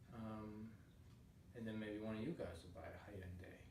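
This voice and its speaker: A man with a somewhat breathy voice speaks amid audible room echo. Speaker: yoga instructor. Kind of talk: tutorial. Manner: halting.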